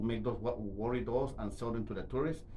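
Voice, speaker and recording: There's vocal fry in a man's voice, with audible room echo around him. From Guatemala. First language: Spanish. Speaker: interview guest, immigrant. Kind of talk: interview. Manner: halting, many repetitions.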